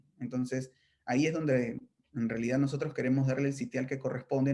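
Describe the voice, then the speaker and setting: A man speaks at a fairly quick pace in an unremarkable speaking voice. His pitch is medium and his intonation fairly even. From Peru, Chimbote (Áncash coast). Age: 30s. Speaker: political candidate. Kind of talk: interview.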